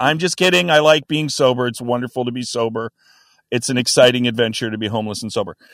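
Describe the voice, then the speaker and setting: In a put-on character voice, a man talks very fast with a raspy, medium-pitched sound that is dry and close with no echo. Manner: deadpan.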